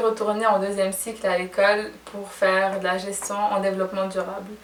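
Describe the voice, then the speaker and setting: A woman's speech comes with audible room echo and noticeable background noise. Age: 20s. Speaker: fashion and beauty blogger. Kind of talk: casual vlog Q&A.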